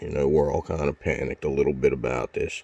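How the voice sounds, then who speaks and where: There is noticeable background noise. A man talks at a fairly quick pace. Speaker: vlogger. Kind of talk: casual rant. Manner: fast; animated.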